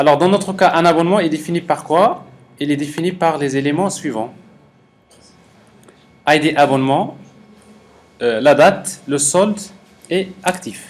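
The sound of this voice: A man speaks at a fairly slow pace with a fairly high pitch, ordinary pitch variation, and long, frequent pauses.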